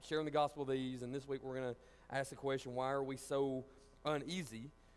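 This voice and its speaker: The speaker is a man. His pitch is fairly high. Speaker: church Bible study teacher. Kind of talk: Bible study lesson. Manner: fast; halting, many fillers.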